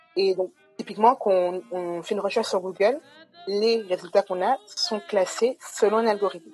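Over music in the background, a woman with a medium pitch talks at a moderate pace with ordinary pitch variation. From Guadeloupe. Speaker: data scientist and startup co-founder. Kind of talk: webinar interview.

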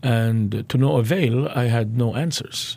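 A man talks at a medium pitch in a somewhat breathy voice. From Lebanon. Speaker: pastor and church planter. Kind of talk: interview. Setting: studio.

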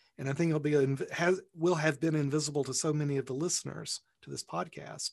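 A man talks at a fairly quick pace in a fairly high, somewhat breathy voice. His pitch moves in an ordinary way. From Alabama. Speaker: podcast host and interviewer. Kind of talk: interview.

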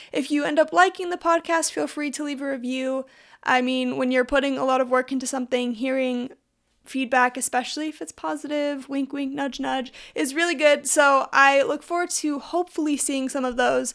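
A woman with a Western US accent, high pitch and a fairly quick pace. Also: ordinary pitch variation, very clean recording, silent background. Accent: American, Western US. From Utah. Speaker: podcast host and YouTuber. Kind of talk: solo podcast intro, casual monologue.

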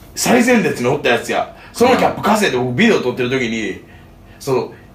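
A man at a moderate pace with very wide pitch swings, against noticeable background noise. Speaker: touring band musician. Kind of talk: casual chat.

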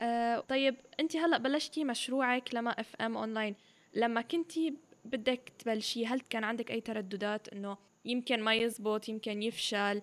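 A woman with a fairly high pitch speaks at a fairly slow pace. Her pitch varies in an ordinary way. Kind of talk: interview; scripted intro and outro.

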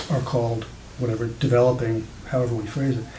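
Noticeable background noise sits behind a man's voice. His pitch is medium and his pace moderate. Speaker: audience member. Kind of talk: audience question.

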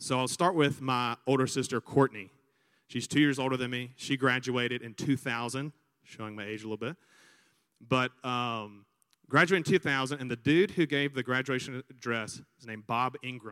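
In an Alabama accent, a man speaks in a bright, sharp, animated tone with ordinary pitch variation. The sound is dry and close with no echo, and the recording is very clean with a silent background. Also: medium pitch for a man, moderate pace, big swings in loudness. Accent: Southern US (Alabama). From US South, Montgomery, Alabama. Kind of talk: sermon-style talk to students. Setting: stage with audience on a campus, microphone.

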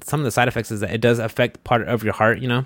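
Very fast speech from a man. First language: Spanish. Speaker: podcast host. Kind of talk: casual chat. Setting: studio.

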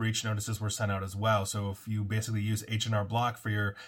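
A man's fairly low, somewhat breathy voice at a very fast pace, in a monotone, flat intonation. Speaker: cybersecurity commentator. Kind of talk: news roundup monologue.

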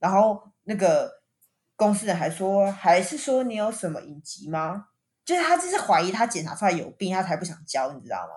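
Somewhat breathy and at a medium pitch, a woman speaks at a moderate pace with lively intonation and big swings in loudness, on a very clean recording with a silent background. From Taiwan. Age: young. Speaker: podcast host. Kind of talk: casual chat.

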